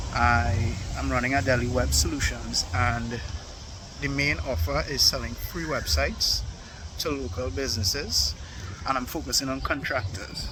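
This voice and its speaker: Very wide pitch swings at a moderate pace, with noticeable background noise and audible room echo. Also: man, very deep, low pitch for a man. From Trinidad and Tobago. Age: 20s. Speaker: entrepreneur vlogger. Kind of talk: casual vlog monologue. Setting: outdoors in a park.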